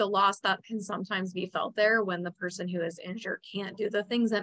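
At a moderate pace, a woman with a medium pitch and fairly bright tone speaks with fairly even intonation and vocal fry.

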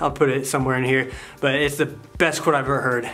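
A man is speaking. Music plays faintly behind him. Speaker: fitness vlogger. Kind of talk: casual vlog chat. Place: home room. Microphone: phone near.

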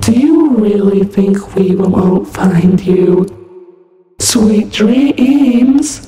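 A put-on character voice at a middle pitch moves at a very slow pace. Strong echo surrounds it. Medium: voice reel. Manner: stuttering, glitchy, creepy.

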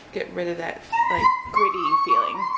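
A woman talks at a moderate pace while loud background noise fills the clip. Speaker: home cook vlogger. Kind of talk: casual cooking tutorial. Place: kitchen. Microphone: camera far.

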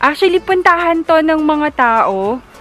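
Someone speaks at a fairly slow pace, the sound dry with no echo and faint music in the background. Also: woman. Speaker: vlogger. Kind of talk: casual vlog chat. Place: open country. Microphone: phone near.

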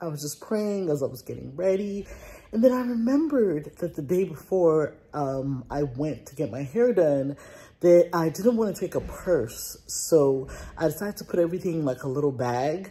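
A woman speaks at a moderate pace in a fairly low, dark, mellow voice that is somewhat breathy. Her pitch swings very widely and her loudness shifts a lot. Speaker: lifestyle vlogger. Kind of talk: casual vlog chat. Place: home room. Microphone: phone near.

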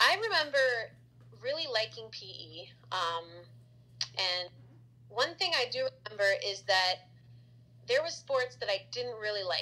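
This woman speaks with an American accent at a fairly slow pace. She leaves long pauses often. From Florida, Tampa Bay area; Florida. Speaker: elementary school teacher, former radio journalist. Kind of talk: casual interview. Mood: relaxed, reflective. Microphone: phone near.

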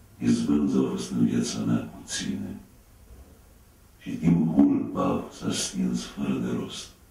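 A man speaking at a very slow pace, with strong room echo. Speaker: actor. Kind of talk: poetry reading. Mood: grave, melancholic. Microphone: camera far.

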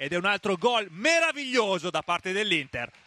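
Using a raised, projected voice, a man speaks fairly quickly at a high pitch, with a dry, close sound and no echo. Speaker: match commentator. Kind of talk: live sports commentary. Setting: stadium.

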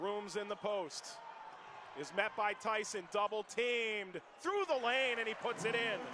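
A man with a high pitch speaks in a raised, projected voice at a fairly slow pace, with an animated tone and ordinary pitch variation. The sound is dry with no echo, though background noise is noticeable. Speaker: basketball play-by-play announcer. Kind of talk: live basketball commentary, highlight reel. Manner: animated, rising to shouts on big shots. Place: stadium. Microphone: headset.

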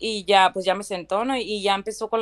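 A woman at a fairly quick pace, with a plain, everyday voice. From Valle de Guadalupe, Ensenada, Baja California, Mexico. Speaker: citizenship applicant. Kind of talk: testimony. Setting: live stream.

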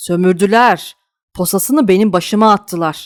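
An ordinary speaking voice at a moderate pace with ordinary pitch variation, in a very clean recording with a silent background. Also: woman, dry, close sound with no echo. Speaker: audiobook narrator. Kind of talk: dramatic audiobook narration with character voices.

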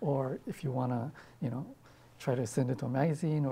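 A man with a fairly high pitch and a dark, mellow tone speaks at a fairly quick pace, somewhat breathy, with ordinary pitch variation. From Hawaii. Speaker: poet. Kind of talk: interview answer. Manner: casual, hesitant. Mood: relaxed, thoughtful. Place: studio. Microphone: lapel.

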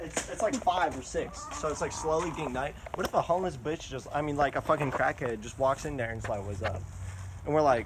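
A man talks fairly quickly while noticeable background noise runs underneath. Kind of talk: casual vlog chat. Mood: nervous, joking. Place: empty room. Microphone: phone near.

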